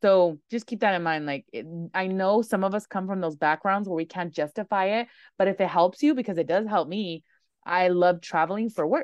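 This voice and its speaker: A woman with a normal speaking voice, medium pitch, ordinary pitch variation and a fairly quick pace. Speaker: podcast host and lash trainer. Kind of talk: casual interview chat.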